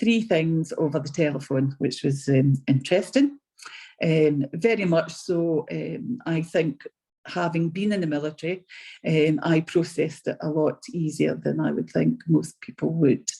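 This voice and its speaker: A woman with a very deep, low pitch speaks at a fairly slow pace in a dark, mellow tone with vocal fry. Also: ordinary pitch variation. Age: 60s. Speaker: patient telling her story; RAF veteran. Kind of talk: testimony. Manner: halting, many ums.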